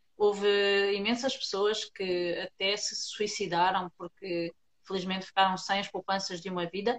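An unremarkable speaking voice from a woman at medium pitch, fairly even in intonation and moderate in pace. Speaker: podcast host. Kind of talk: casual interview.

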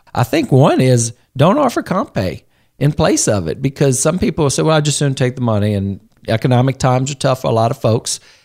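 In a normal speaking voice of medium pitch, a man talks at a fairly quick pace with lively intonation, the sound dry and close with no echo on a very clean recording with a silent background. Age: 40s. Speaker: podcast host on human resources. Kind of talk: casual interview chat. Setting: studio.

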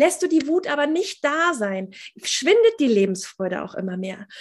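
Very wide pitch swings mark this woman's high voice, which moves at a moderate pace in a very clean recording with a silent background. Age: 30s. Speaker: mentor and coach for mothers, former nurse. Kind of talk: interview.

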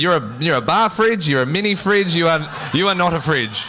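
Lively intonation marks a man's speech, heard against noticeable background noise. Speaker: awards night MC. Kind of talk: live awards-night MC announcing on stage, formal with audience applause cues. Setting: stage with audience.

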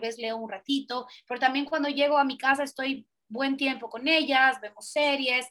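Fairly quick and projected, a woman's raised voice carries a bright, sharp tone at a high pitch with fairly even intonation. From Central America (Guatemala, El Salvador, Honduras). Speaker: pediatric dentist. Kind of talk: casual interview.

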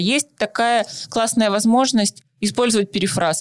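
A woman with an unremarkable speaking voice talks at a moderate pace. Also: dry, close sound with no echo. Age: 20s. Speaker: psychologist, podcast co-host. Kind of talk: casual chat.

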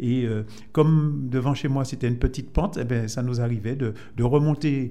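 A man with a dark, mellow tone speaks at medium pitch and a moderate pace, his intonation fairly even. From Martinique, Fort-de-France. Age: 70s. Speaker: Lions Club member. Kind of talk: radio interview.

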